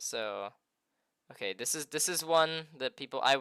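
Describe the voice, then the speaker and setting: A quiet man's fairly high voice, bright and sharp in tone, with lively intonation. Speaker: interviewer on streaming channel. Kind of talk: live stream interview.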